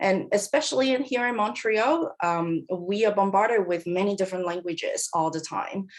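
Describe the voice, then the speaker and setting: A Cantonese accent at a moderate pace, with ordinary pitch variation and a quiet background. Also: woman. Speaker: professor. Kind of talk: lecture.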